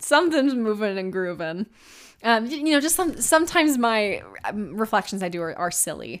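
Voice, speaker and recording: Her pitch swings very widely as the woman talks at a moderate pace, in a very clean recording with a silent background. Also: fairly high pitch for a woman. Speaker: podcast host and singer. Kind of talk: solo reflective monologue. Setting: alone in a recording room. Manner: rambling with frequent laughs.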